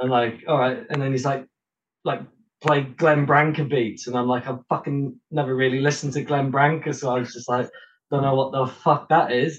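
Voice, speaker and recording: With monotone, flat intonation, a man speaks in a somewhat breathy voice at a medium pitch and a moderate pace. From England, Shropshire (Oswestry). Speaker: drummer. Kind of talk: casual chat.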